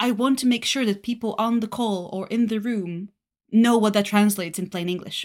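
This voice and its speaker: With a Bulgarian accent, a woman speaks at a fairly high pitch using fairly even intonation. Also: moderate pace. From Bulgaria, Varna. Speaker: solution engineer. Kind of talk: casual interview.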